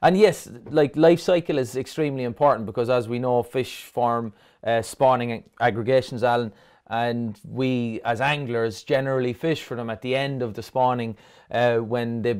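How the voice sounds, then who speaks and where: A man's medium-pitched voice at a moderate pace, fairly even intonation, very clean recording, and silent background. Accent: Cork. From Ireland, Dublin. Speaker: fisheries scientist and angler. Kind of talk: interview.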